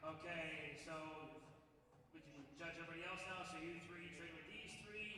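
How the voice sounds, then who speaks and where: Over noticeable background noise and audible room echo, the speaker talks at a moderate pace with an American accent. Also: man. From Florida. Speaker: bodybuilding show emcee calling poses. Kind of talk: stage emceeing of poses. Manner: commanding.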